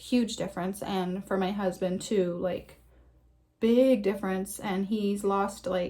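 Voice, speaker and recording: A woman's somewhat breathy voice in monotone, flat intonation. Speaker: health vlogger. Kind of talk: casual vlog talk. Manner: chatty, hesitant with fillers.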